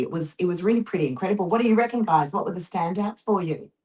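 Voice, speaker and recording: A woman with an Australian accent speaks at a fairly low pitch with ordinary pitch variation. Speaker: real estate agent and show host. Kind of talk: casual chat.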